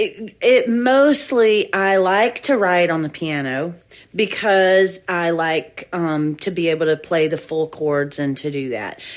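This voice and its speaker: A woman with a strong Southern accent speaks at a very slow pace. Her fairly low pitch moves with lively intonation. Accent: thick Southern. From US South, Georgia. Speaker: musician and music teacher. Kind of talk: casual interview.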